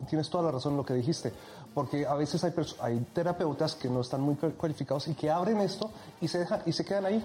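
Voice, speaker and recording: Fairly high in pitch, a man talks at a very fast pace. His loudness stays very even. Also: ordinary pitch variation. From Egypt. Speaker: hypnotist. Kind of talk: casual chat; hypnosis induction.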